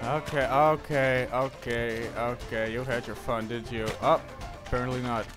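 Music plays behind a man talking fairly slowly. His voice sits at a medium pitch with fairly even intonation. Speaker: gaming commentator. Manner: shouting, swearing.

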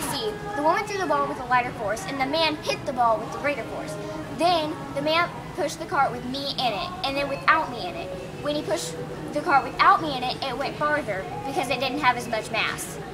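Over clear music in the background, a woman speaks at a fairly quick pace in a raised, projected voice. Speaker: presenter. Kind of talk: school project explanation. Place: shop. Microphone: camera far.

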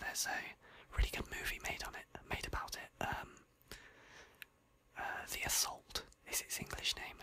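A woman whispers in a British accent. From United Kingdom. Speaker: ASMR creator. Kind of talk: ASMR gaming profile reading. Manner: whispered. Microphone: studio mic.

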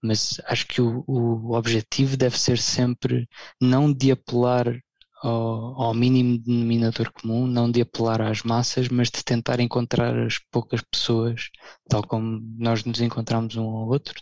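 At a fairly slow pace, a man speaks with monotone, flat intonation, the sound dry and close with no echo. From Portugal. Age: 30s. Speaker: blogger. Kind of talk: casual chat.

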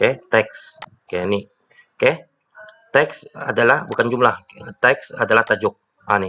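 A man talking at a moderate pace. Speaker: teacher. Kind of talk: tutorial. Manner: casual, with many fillers.

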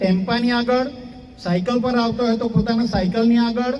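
An extremely high-pitched male voice amid noticeable background noise and audible room echo. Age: 60s-70s (around seventy). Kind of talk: public speech at a community meeting.

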